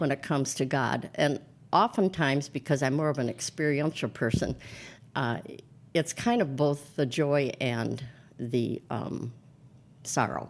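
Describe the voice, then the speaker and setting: In a very clean recording with a silent background, a woman with an American accent speaks at a very deep, low pitch with vocal fry, ordinary pitch variation, a fairly slow pace and long, frequent pauses. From US Upper Midwest (Minnesota). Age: 70s. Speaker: priest. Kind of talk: interview conversation.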